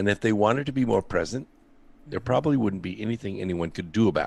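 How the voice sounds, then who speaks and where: In an American accent, a man with a fairly low pitch talks with lively intonation. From Southern California. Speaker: scientist. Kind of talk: call-in show interview.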